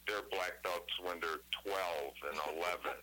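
A man with an Upper Midwest accent speaks over noticeable background noise. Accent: Upper Midwest American. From Wisconsin. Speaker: caller. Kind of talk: casual chat.

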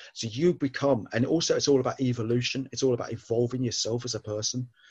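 Somewhat breathy and at a medium pitch, this man talks at a fairly quick pace with fairly even intonation. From southern England. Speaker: author and ex-Navy man. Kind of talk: casual interview chat.

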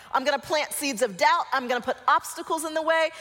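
Talking at a very fast pace, a woman with an American accent has lively intonation over noticeable background noise. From Colorado, US. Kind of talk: guided visualization inside a church talk, leading the audience with eyes closed; church talk to a young adult group. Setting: church with live audience. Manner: warm and playful, with laughs.

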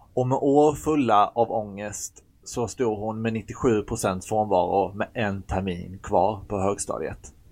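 A man with a fairly low pitch and ordinary pitch variation speaks very slowly, hardly pausing at all. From Sweden, Blekinge. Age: 30s. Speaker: podcast co-host. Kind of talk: scripted podcast intro.

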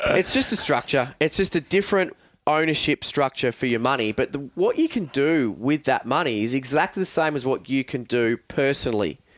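Speech in an Australian accent comes at a fairly quick pace with hardly any pauses and ordinary pitch variation. The loudness stays very even, and the sound is dry and close with no echo. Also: man, fairly high pitch for a man. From Australia, Melbourne area (Frankston). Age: 30s. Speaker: financial adviser. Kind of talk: casual chat.

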